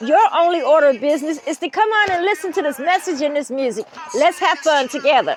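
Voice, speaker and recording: Over noticeable background noise, a woman with a Southern US accent talks at a high pitch and moderate pace with lively intonation. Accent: Southern US twang. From US South, Greer, South Carolina. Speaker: author and commentary channel host. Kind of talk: casual storytelling commentary. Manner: conversational, filler-heavy.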